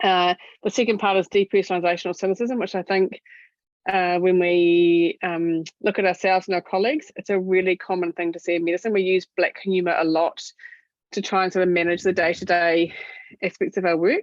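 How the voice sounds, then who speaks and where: Speaking in a New Zealand accent, a woman with a medium pitch moves at a fairly quick pace. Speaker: doctor speaking on clinician wellbeing. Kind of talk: webinar presentation. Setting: online webinar. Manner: fast; animated.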